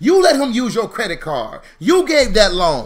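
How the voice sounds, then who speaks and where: A man speaks loudly at an extremely high pitch, his voice making very wide pitch swings. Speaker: financial educator, founder of a financial literacy school. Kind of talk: motivational live stream talk. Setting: live stream with chat. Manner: fast.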